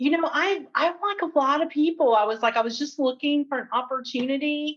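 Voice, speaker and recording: Speaking at a fairly quick pace, a woman with an American accent uses a high pitch and ordinary pitch variation. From Tennessee, US South. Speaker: HR executive. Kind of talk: interview conversation.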